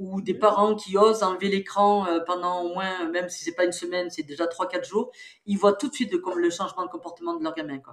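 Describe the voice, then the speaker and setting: A woman's ordinary speaking voice, medium in pitch, with ordinary pitch variation and a fairly quick pace. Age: 60s. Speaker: psychologist and researcher. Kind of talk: interview.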